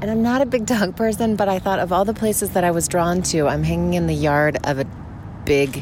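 A woman with a fairly low pitch makes very wide pitch swings at very even loudness. Noticeable background noise is present. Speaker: listener voicemail. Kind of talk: voicemail message. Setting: parked van by road.

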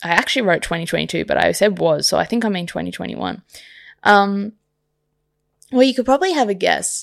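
In a very clean recording with a silent background, a woman with an Australian accent talks very fast but takes long, frequent pauses. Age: 30s. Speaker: podcast host. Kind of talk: solo podcast monologue. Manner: casual, with many fillers.

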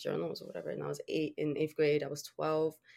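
This is a woman's voice. It sits very deep and low in pitch. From Dominican Republic. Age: 20s. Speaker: podcast host and poet. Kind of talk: casual interview conversation. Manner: halting, with fillers and restarts.

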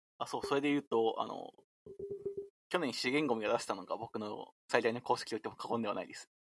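Delivered at a very fast pace, this voice shows big swings in loudness and has a dry, close sound with no echo. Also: man. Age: 20s. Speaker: software engineer with a mathematics degree. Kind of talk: casual chat.

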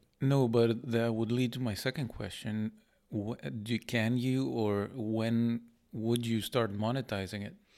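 On a very clean recording with a silent background, a man uses an ordinary speaking voice at a medium pitch with fairly even intonation. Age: 30s. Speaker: professor. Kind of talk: casual chat.

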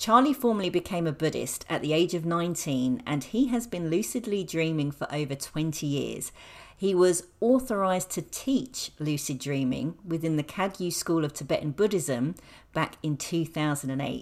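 The speaker has a normal speaking voice at a moderate pace. The recording is very clean, with a silent background. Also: woman, fairly low pitch for a woman, lively intonation. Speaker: podcast host. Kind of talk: interview conversation. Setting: guest's apartment.

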